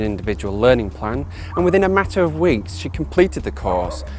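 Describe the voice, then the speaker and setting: Music plays in the background as a man with a Yorkshire accent speaks at a fairly low pitch with lively intonation. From Yorkshire, northern England. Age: 30s. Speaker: job applicant. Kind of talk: prepared video CV monologue. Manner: formal.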